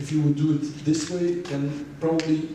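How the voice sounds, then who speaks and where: The speech comes at a moderate pace in a Dutch accent, with monotone, flat intonation. Noticeable background noise and audible room echo are present. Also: man. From Belgium (Flanders). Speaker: illustrator. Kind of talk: public lecture Q&A conversation. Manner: halting, repeats words.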